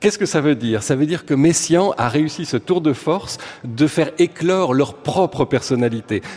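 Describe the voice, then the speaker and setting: A man speaks with a fairly high pitch and lively intonation. Noticeable background noise is present. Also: moderate pace. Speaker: music critic and radio columnist. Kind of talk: radio chronicle.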